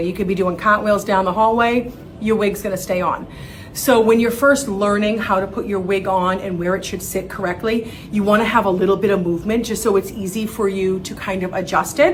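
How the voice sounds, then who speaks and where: A woman with fairly even intonation, music in the background and audible room echo. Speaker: wig expert and seller. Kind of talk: tutorial. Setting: studio. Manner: casual, friendly.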